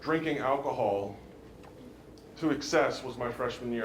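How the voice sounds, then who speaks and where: With an American accent, a man speaks at a fairly slow pace with ordinary pitch variation, amid noticeable background noise and audible room echo. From Maryland, US Mid-Atlantic. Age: 30s. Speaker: former pro football player, recovery speaker. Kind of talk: motivational talk to students. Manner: hesitant, many fillers and repeats.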